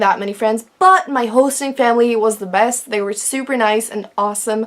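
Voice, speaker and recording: Noticeable background noise accompanies a woman's fairly high pitch. She talks at a fairly quick pace with ordinary pitch variation. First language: Czech. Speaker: vlogger. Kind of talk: casual vlog talk.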